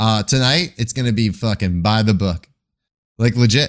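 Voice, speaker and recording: A man with an American accent, animated in tone, with ordinary pitch variation, on a very clean recording against a silent background. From Long Island, New York. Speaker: comedian and wrestling podcaster. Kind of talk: casual chat.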